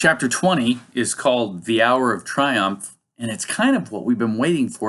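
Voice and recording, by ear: The background stays quiet. Someone reads aloud in a natural voice.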